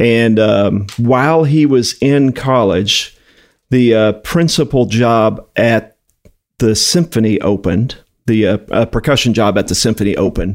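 A man speaks in a normal speaking voice at a medium pitch with ordinary pitch variation, a fairly slow pace and very even loudness, on a very clean recording with a silent background. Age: 50s. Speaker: music education director at a drumstick company. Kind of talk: interview.

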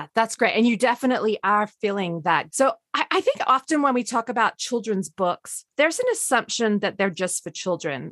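A woman with a plain, everyday voice speaks at a moderate pace with lively intonation, fairly high pitch and hardly any pauses, recorded dry and close with no echo against a quiet background. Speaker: podcast host. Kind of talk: interview with scripted intro.

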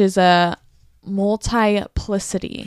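A woman speaks with monotone, flat intonation. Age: 20s. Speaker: podcast co-host. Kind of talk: casual chat.

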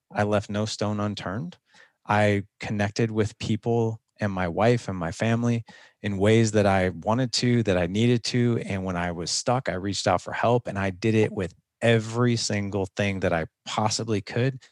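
Using a plain, everyday voice, a man with fairly low pitch speaks at a moderate pace with fairly even intonation, the sound dry and close with no echo. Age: 40s. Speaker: podcaster and fathers' coach. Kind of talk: interview conversation.

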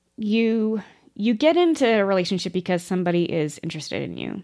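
A woman talks fairly quickly with lively intonation on a very clean recording with a silent background. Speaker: podcast co-host. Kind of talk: casual chat.

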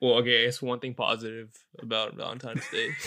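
A man's put-on character voice, raspy and medium in pitch, at a very fast pace with monotone, flat intonation. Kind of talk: like speaking at a support group meeting. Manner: somber, confessional.

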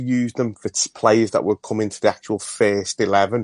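Against a quiet background, a man with a normal speaking voice and a medium pitch talks at a moderate pace with fairly even intonation, the sound dry and close with no echo. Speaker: caller. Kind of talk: phone-in call.

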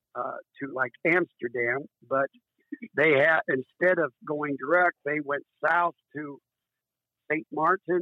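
A man with a US Midwestern accent and a fairly high pitch talks at a very slow pace. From Iowa, US Midwest. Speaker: recreational boater. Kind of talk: casual interview. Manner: halting, many fillers.

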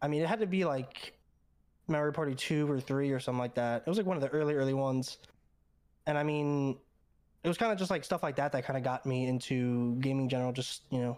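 Delivered at a very fast pace, the speech keeps ordinary pitch variation and very even loudness. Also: man, fairly high pitch for a man. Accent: American. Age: 20s. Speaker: professional esports player. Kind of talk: casual chat.

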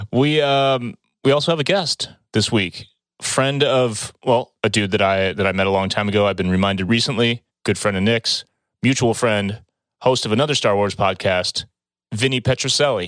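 This man has a plain, everyday voice of medium pitch with ordinary pitch variation. His loudness stays very even and his pace is moderate. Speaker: podcast host. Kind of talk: casual chat. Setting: video call.

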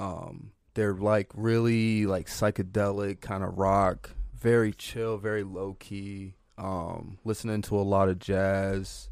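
In an American accent, a man speaks very slowly at a fairly low pitch. His intonation is monotone and flat. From Northern Virginia, US. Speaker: cowboy and clothing brand owner. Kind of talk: casual chat.

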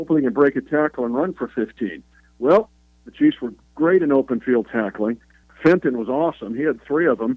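A man talks in an ordinary speaking voice at a medium pitch, with ordinary pitch variation. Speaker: NFL play-by-play broadcaster. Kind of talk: radio interview.

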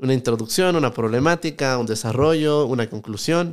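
This man has an unremarkable speaking voice, medium in pitch with ordinary variation, delivered at a moderate pace on a very clean recording with a silent background. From Ecuador, Quito. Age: 20s. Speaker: economist and YouTuber. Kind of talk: podcast interview.

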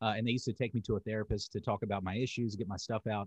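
A man with a slight Southern US accent at a very fast pace, in a dry, close sound with no echo and a quiet background. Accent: Southern US, slight country twang. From US South, North Carolina. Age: 30s. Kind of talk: casual interview chat.

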